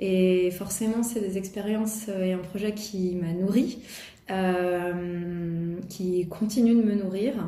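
With audible room echo, a woman talks at a very slow pace in fairly even intonation. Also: medium pitch for a woman. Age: 40s. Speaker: art center director. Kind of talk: interview. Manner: hesitant, many fillers.

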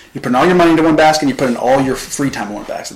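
Talking at a very fast pace in a fairly high voice, a man with a Southern US accent is heard against noticeable background noise and audible room echo. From US South, Arkansas (Pine Bluff area). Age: 20s. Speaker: marketing agency founder. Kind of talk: casual interview chat.

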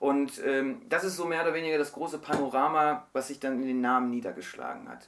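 Speaking very fast, a man has a fairly high pitch with ordinary variation. Noticeable background noise can be heard. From Germany. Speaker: novelist. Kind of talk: interview. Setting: radio studio.

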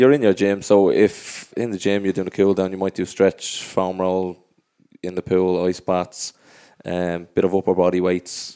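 With an Irish accent, a man speaks in a very deep, low pitch and a dark, mellow tone, his intonation monotone and flat, the sound dry and close with no echo. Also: moderate pace. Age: 30s. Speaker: professional footballer. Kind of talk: casual chat. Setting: studio.

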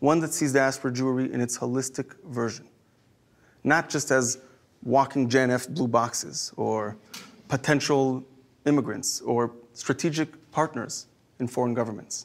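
A man with an Israeli accent speaks at a moderate pace and medium pitch. His intonation is fairly even, with long, frequent pauses. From Israel, Jerusalem. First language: Hebrew. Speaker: rabbi. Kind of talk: inspirational talk.

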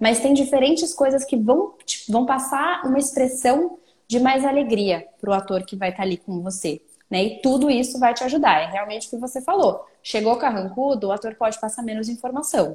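Here a woman speaks in a high pitch. Her intonation is lively. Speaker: speech therapist. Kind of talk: casual interview.

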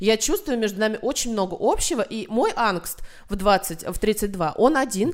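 An unremarkable speaking voice, this woman talks fairly slowly at a fairly high pitch with ordinary pitch variation. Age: 30s. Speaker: journalist and film critic. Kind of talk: casual chat.

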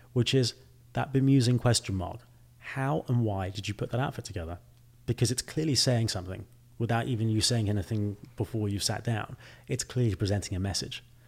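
A somewhat breathy man's voice at a fairly quick pace with ordinary pitch variation. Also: medium pitch for a man. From England. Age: young. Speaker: fashion company CEO. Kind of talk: interview conversation.

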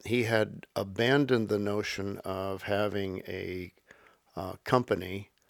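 Over a very clean recording with a silent background, a man with a fairly low pitch talks at a very slow pace with fairly even intonation. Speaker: historian and professor. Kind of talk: interview recollection.

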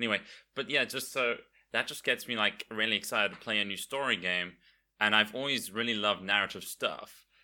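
On a very clean recording with a silent background, a man talks fairly quickly in a bright, sharp tone. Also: medium pitch for a man, fairly even intonation. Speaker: variety streamer. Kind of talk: casual chat.

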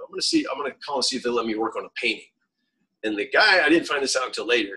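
A man talks at a very fast pace, his loudness swinging widely up and down. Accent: American. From rural Florida. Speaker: street artist, painter. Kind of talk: casual chat.

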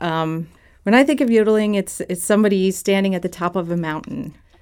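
Using an unremarkable speaking voice, a woman with an American accent and a medium pitch speaks at a fairly quick pace on a very clean recording with a silent background. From Southwest Virginia (Blacksburg). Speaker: potter and political organizer. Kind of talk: interview conversation.

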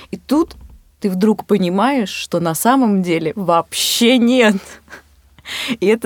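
The woman speaks at a medium pitch. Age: 20s. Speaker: photographer and filmmaker, podcast co-host. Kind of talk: casual chat. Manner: hesitant, many filler sounds.

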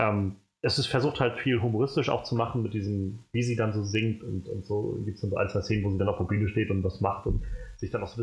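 This man's voice has a somewhat breathy quality. His pitch stays fairly level as he talks. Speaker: film podcast host. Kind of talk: casual chat. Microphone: new microphone, sits further from it.

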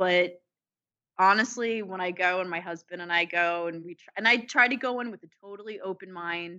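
This woman speaks in a plain, everyday voice at a medium pitch with ordinary pitch variation. Her pace is fairly quick, and her loudness swings a lot. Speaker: podcast co-host. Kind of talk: casual chat.

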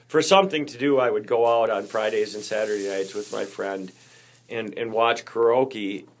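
A man speaks at a moderate pace with ordinary pitch variation. He has a plain, everyday voice. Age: 50s. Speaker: podcast co-host sharing recovery story. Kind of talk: casual chat. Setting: public library.

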